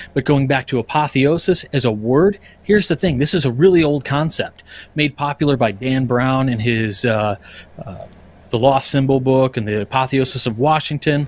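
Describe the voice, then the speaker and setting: A man talks at a moderate pace and a medium pitch with ordinary pitch variation. He has a plain, everyday voice. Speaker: podcast panelist giving a lodge education presentation. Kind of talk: casual, conversational lecture style.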